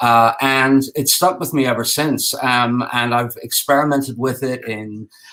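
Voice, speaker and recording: Audible room echo surrounds a man with an Irish accent who speaks fairly slowly at a medium pitch. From Ireland. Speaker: game designer and architect. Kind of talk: conference talk. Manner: halting, many fillers.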